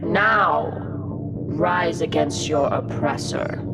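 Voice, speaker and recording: Loud background noise sits behind a put-on character voice that moves at a very slow pace. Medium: audio drama. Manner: zealous, persuasive.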